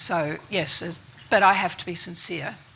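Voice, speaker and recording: Soft-spoken, a woman talks at a moderate pace with an Australian accent and a fairly low pitch. Noticeable background noise is present. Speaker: investor network chair. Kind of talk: panel discussion.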